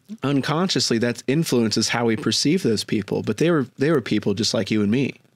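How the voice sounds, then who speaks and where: This man has a normal speaking voice at medium pitch and talks at a fairly quick pace. His intonation is lively, and his loudness stays very even. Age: 20s. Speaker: podcast host. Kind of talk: casual interview chat.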